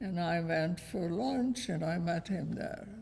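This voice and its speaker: The voice is somewhat breathy with a dark, mellow tone and moves at a very slow pace. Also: woman. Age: 90s. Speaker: Holocaust survivor. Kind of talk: testimony. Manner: terse.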